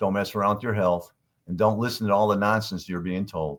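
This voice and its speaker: A man with an unremarkable speaking voice talks in a fairly low pitch with fairly even intonation, in a very clean recording with a silent background. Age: 60s. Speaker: company CEO. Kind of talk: casual interview.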